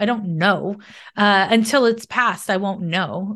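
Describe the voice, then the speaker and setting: With fairly even intonation, an unremarkable speaking voice proceeds at a moderate speed. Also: woman, quiet background. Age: 40s. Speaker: astrologer and psychic. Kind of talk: casual interview chat.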